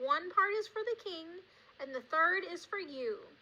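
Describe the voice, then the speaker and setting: A woman does a put-on character voice at an extremely high pitch. She keeps to a moderate pace. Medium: read story. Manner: blustering, threatening.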